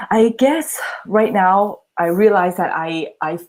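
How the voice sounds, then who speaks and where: A woman speaks with a non-native accent. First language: not English. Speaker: channel host being coached. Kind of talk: live coaching session. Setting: livestream video call.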